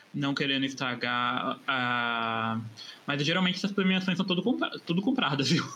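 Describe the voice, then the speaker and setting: Over noticeable background noise, the voice holds a very even loudness throughout. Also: man, fairly high pitch for a man, lively intonation, moderate pace. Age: 30s. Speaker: advertising professional, podcast guest. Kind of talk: casual chat; reading aloud.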